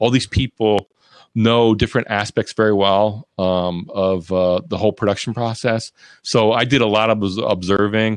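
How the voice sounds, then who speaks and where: In an ordinary speaking voice, a man with a fairly low pitch talks at a moderate pace with fairly even intonation, the sound dry and close with no echo. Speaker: TV production professional and live video producer. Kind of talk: casual interview chat. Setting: live online video show.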